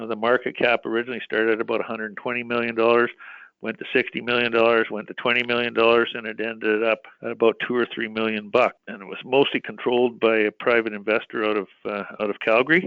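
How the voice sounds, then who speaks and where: A man's medium-pitched, monotone, flat delivery at a very fast pace, hardly any pauses and big swings in loudness. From Western Canada (British Columbia). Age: 60s. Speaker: mining company executive. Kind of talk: interview. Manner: conversational, with frequent fillers and restarts.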